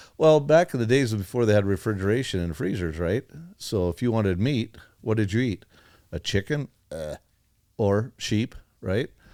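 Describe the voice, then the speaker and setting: Using an American accent, a man with a dark, mellow tone speaks with lively intonation and long, frequent pauses. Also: fairly low pitch for a man, moderate pace, very clean recording, silent background. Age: 60s. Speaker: farmer and rancher. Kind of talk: casual chat. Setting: studio.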